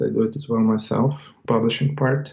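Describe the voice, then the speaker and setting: With music in the background, a man with a non-native accent speaks at a medium pitch with ordinary pitch variation. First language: not English. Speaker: website seller. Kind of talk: interview.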